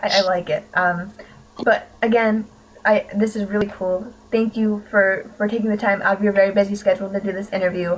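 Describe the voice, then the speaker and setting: A woman's somewhat breathy, medium-pitched voice with an American accent and monotone, flat intonation. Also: fairly quick pace. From US, Pittsburgh area. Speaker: podcast host. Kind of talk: interview.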